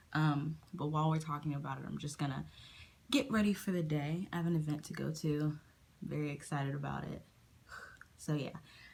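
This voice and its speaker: Somewhat breathy and very deep and low in pitch, a woman speaks with fairly even intonation and long, frequent pauses. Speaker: beauty and commentary youtuber. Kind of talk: casual talk to camera.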